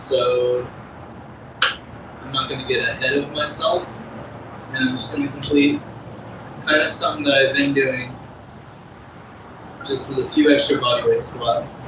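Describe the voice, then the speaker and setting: A man at a fairly slow pace with long, frequent pauses, amid audible room echo and noticeable background noise. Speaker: fitness livestreamer. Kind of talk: casual livestream talk while exercising.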